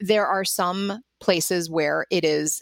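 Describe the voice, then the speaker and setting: A woman with an American accent speaks in an ordinary speaking voice, her pitch fairly low and her intonation fairly even, on a very clean recording with a silent background. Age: 50s. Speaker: linguistic anthropologist and translation company founder. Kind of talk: interview.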